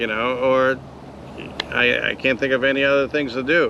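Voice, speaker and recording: Speaking fairly quickly, a man uses a medium-pitched voice. Background noise is noticeable. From New York. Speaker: YouTube vlogger. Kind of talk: casual chat.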